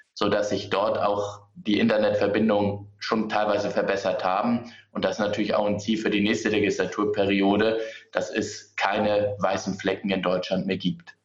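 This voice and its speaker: The recording has audible room echo. Within it, a man talks at a moderate pace. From Hamburg, Germany. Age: 30s. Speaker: politician. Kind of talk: political debate.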